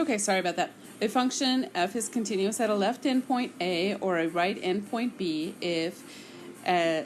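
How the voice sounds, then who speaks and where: Music sits in the background as a woman speaks. Her pitch is medium and her intonation lively. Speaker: math teacher. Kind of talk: lecture.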